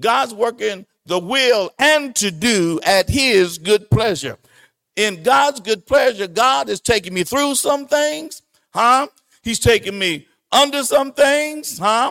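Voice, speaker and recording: Over music in the background, a man with an extremely high pitch speaks at a very slow pace, the sound dry and close with no echo. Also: lively intonation. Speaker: pastor. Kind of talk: sermon, Bible lesson. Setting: church. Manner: animated, preacher in full flow, emphatic and exhortative.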